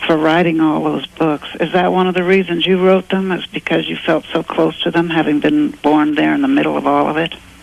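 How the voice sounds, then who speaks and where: Noticeable noise sits behind speech delivered at a moderate speed. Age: 70s. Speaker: caller. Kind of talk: call-in question. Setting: phone call.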